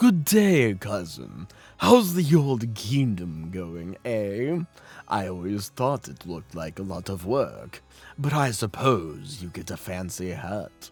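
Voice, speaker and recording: A man uses a put-on character voice with a fairly low pitch. He speaks at a fairly slow pace, with faint music in the background. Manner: silly, jovial.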